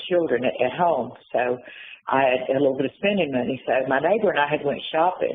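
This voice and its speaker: The woman has an Appalachian accent and a very deep, low pitch. She speaks at a moderate pace with ordinary pitch variation. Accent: Appalachian Southern US. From US South, western North Carolina. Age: 60s. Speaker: former prisoner. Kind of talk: interview. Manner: halting.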